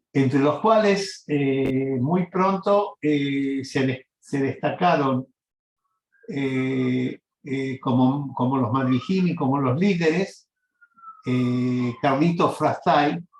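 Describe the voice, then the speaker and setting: A man speaks at a very slow pace in a fairly high pitch, with ordinary pitch variation. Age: 70s. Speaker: interviewee recounting life story. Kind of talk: oral history interview. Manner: halting, many fillers.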